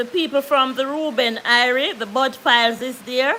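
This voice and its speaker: A woman's high-pitched, raised and projected voice with a bright, sharp tone, ordinary pitch variation and a Jamaican accent. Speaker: YouTuber. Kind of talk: live stream chat. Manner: loud.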